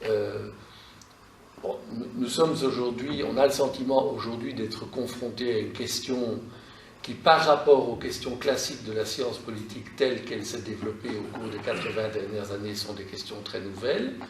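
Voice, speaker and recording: Over noticeable background noise and audible room echo, a man speaks at a moderate pace and medium pitch, with fairly even intonation but big swings in loudness. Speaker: university lecturer. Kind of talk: lecture. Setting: classroom seminar. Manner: hesitant, many fillers.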